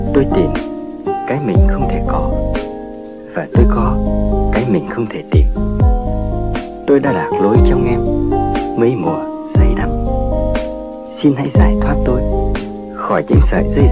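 With loud music in the background, a man with a Hanoi accent speaks at a very slow pace, leaving long, frequent pauses. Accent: old Hanoi Vietnamese. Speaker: radio host. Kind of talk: lyrical radio narration. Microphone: old recording.

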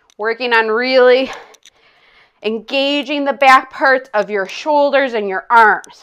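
Against a quiet background, a woman talks at a very slow pace in a high pitch with ordinary pitch variation. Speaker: fitness instructor. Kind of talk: guided exercise class. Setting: online video class. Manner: upbeat, energetic, coaching in short commands; counts aloud and paces reps with timing cues. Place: home room.

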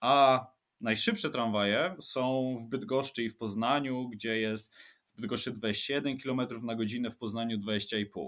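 A man with an unremarkable speaking voice, medium pitch and a fairly slow pace, on a very clean recording with a silent background. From Łódź, Poland. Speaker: urban planner and transport expert. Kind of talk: interview, expert explanation.

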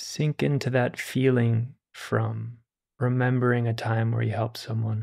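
The delivery is fairly slow, with fairly even intonation. It is an ordinary speaking voice. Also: man, medium pitch for a man. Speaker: meditation teacher. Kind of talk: guided meditation. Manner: slow, gentle invitations to relax and savor warm feelings; soft-spoken, calm and soothing.

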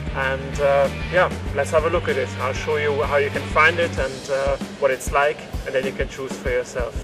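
Clear music in the background and a man speaking at a moderate pace. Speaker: motorcycle channel host. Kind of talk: casual vlog chat. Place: open country.

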